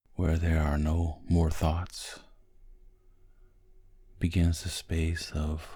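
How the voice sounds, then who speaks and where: Very slow and somewhat breathy, a man speaks at a very deep, low pitch with a dark, mellow tone. His intonation is monotone and flat. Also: long, frequent pauses. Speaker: hypnotist. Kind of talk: sleep hypnosis. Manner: slow, soft-spoken.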